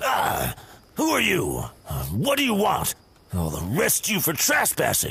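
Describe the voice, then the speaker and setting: A man's put-on character voice at a fairly slow pace, with long, frequent pauses. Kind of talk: video game dialogue.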